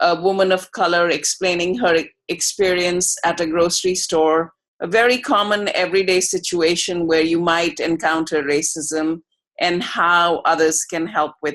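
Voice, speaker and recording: A woman with an American accent has a plain, everyday voice, speaking at a moderate pace and a fairly low pitch with fairly even intonation. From outside the US. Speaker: researcher. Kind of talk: video call discussion. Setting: video call.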